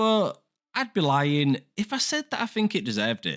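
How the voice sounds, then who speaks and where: A voice with an English accent comes through on a very clean recording with a silent background. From England. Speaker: film and TV reviewer. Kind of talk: video review commentary. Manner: casual, conversational.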